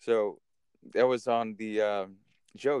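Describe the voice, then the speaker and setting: The sound is dry and close with no echo as a man with a Californian accent speaks in fairly even intonation. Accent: Californian American English. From California, Napa Valley. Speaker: podcast co-host. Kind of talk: casual storytelling chat.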